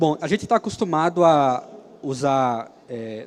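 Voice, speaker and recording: Here a man talks at medium pitch. His pitch varies in an ordinary way. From Brazil, Alagoas (Maceió). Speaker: software engineer and free software speaker. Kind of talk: conference talk. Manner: hesitant, with fillers.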